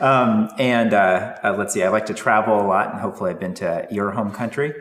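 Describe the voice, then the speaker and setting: Over noticeable background noise and audible room echo, a man talks at a very fast pace with a fairly low pitch and ordinary pitch variation. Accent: General American. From US West Coast, San Francisco Bay Area. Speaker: professor. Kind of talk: casual introductions.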